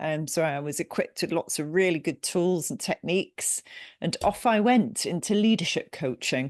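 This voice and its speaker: With an English accent, a woman speaks at a moderate pace and fairly low pitch, her intonation lively. The sound is dry and close with no echo, over a quiet background. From England. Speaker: business coach and company CEO. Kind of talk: podcast interview. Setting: remote call.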